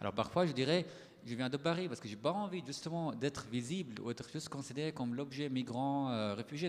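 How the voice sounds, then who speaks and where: A man's fairly high voice with a non-native accent, at a fairly quick pace and with ordinary pitch variation. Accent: foreign accent in French. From Syria. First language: Arabic (speaking French). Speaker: writer and poet. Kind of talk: panel discussion.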